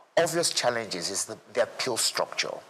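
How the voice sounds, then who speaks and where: A man speaks against noticeable background noise. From Nigeria, south-west. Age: 60s. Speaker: lawyer and former state commissioner. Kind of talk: interview. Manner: halting, many repetitions.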